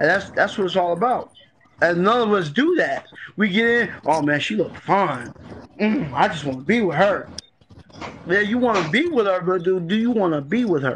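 Light background noise sits behind a man speaking at a high pitch. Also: moderate pace. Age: 40s. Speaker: guest in a group live-stream discussion; guest. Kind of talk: casual group discussion. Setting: online live-stream room. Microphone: phone near.

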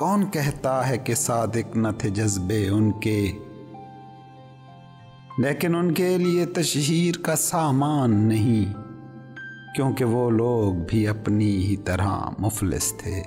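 A medium-pitched male voice with lively intonation and very even loudness, music in the background. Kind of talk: poetry reading.

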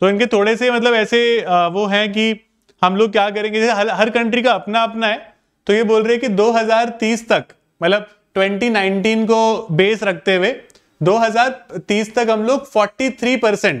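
Against a quiet background, a man with a high voice talks at a fairly slow pace, his intonation fairly even and his loudness very even. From India. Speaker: exam prep teacher. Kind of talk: online class lecture. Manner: code-switching Hindi and English. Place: classroom.

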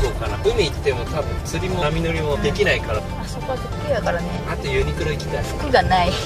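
A man's very fast speech over loud music in the background. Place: car. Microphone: camera far.

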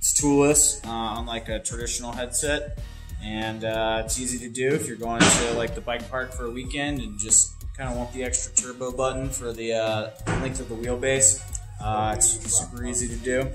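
A man talks at a moderate pace. Clear music can be heard behind him. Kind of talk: product demonstration. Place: factory.

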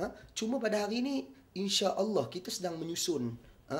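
Animated in tone, a man speaks at a moderate pace with very wide pitch swings. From Malaysia. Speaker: Islamic preacher and youth political figure; Islamic preacher. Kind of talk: press conference statement. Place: office. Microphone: handheld.

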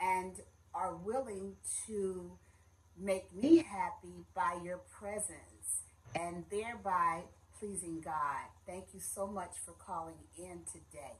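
A woman's very slow speech with long, frequent pauses and big swings in loudness. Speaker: minister giving a message. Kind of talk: sermon. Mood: warm, welcoming. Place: home room. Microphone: phone near.

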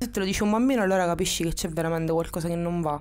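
The woman's voice is fairly low and has a dark, mellow tone. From Sicily, Catania. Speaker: interviewee in documentary. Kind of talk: personal testimony. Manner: halting.

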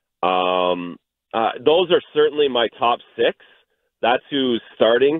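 With a slight Canadian accent, a man speaks at a very slow pace. His intonation is lively. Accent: Canadian, faint. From Canada. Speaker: hockey analyst. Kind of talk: radio interview answer.

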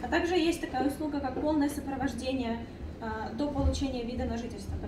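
Over noticeable background noise, a woman with a high voice talks at a moderate pace with ordinary pitch variation. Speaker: business incubator coordinator. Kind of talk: informational presentation. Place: meeting room.

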